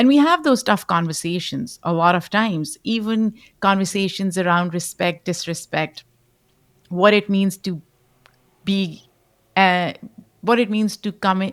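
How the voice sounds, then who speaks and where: At a medium pitch and fairly slow pace, a woman with a Pashto accent speaks with long, frequent pauses in a very clean recording with a silent background. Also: ordinary pitch variation. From Pakistan. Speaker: podcast host. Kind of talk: interview.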